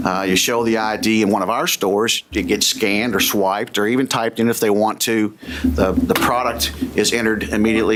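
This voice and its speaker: A man with a Kentucky accent talks at a fairly low pitch and a fairly quick pace. His pitch variation is ordinary, with noticeable background noise behind him. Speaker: business executive and former police officer. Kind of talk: legislative testimony. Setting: committee hearing room. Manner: hesitant, with frequent fillers.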